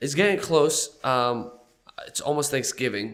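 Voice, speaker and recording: This is a man speaking. His pitch is fairly high. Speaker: podcast host. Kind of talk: casual chat.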